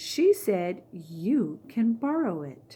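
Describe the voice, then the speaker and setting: A woman performs a put-on character voice. Her pitch makes very wide swings. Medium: read story. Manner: eager, upbeat.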